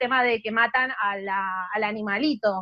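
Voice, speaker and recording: This is a woman speaking. She has a Rioplatense accent. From Argentina, Buenos Aires. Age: 30s. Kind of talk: casual chat.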